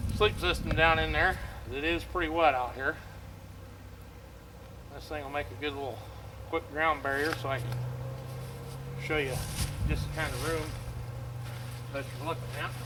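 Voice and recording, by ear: Over clear background noise, a man with a fairly high pitch speaks at a fairly slow pace, leaving long, frequent pauses.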